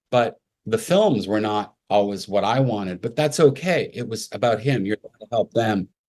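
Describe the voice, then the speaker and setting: Over a quiet background, a man with a plain, everyday voice speaks at a moderate pace with ordinary pitch variation. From Canada, Montreal. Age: 60s. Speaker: makeup artist. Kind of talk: interview.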